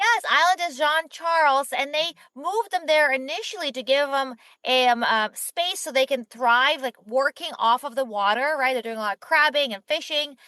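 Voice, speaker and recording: With a raised, projected voice and a bright, sharp tone, the speaker talks at a moderate pace with lively intonation, in a dry, close sound with no echo. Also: woman, high pitch for a woman. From Ukraine, then Israel. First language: not English. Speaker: startup founder and CEO. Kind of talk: podcast interview. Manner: casual, uses filler like.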